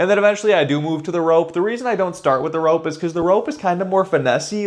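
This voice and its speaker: With ordinary pitch variation, a man rattles off his words very fast while noticeable noise fills the background. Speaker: fitness vlogger. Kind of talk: tutorial. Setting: gym. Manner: casual, slangy.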